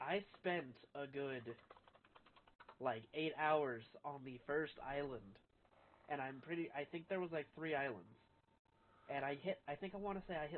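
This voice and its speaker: At a moderate pace, a man with a fairly high pitch speaks with ordinary pitch variation and long, frequent pauses. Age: 20s. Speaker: gaming streamer. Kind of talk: casual chat.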